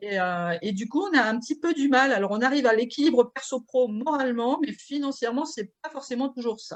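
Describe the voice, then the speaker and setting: With hardly any pauses, a woman speaks at a high pitch with lively intonation. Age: 50s. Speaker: nonprofit president, business creation advisor. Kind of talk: conference talk. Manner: hesitant, many fillers.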